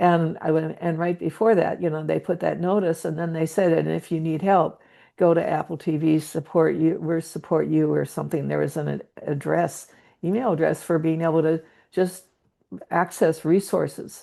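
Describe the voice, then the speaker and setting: Against a quiet background, a woman speaks at a moderate pace with a fairly low pitch, a dark, mellow tone, vocal fry, and fairly even intonation. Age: 70s. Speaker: meditation group participant. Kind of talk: group sharing. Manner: halting.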